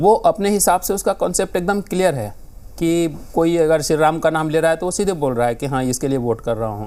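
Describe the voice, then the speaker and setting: With a Bihar accent, a man speaks at a moderate pace in a fairly high, dark, mellow voice with lively intonation. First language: Maithili (speaking Hindi). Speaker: political panelist. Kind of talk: TV panel discussion. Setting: TV studio.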